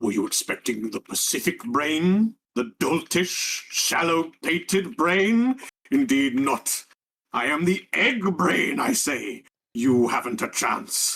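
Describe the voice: In a put-on character voice, a man speaks high and fairly slowly, his pitch swinging very widely in a pompous, menacing tone.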